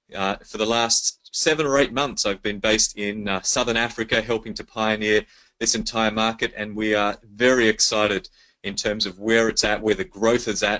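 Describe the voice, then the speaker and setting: At a moderate pace, a man with an Australian accent talks at a medium pitch with fairly even intonation. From Australia, Sydney. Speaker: network marketing presenter. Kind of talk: sales pitch. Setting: webinar call.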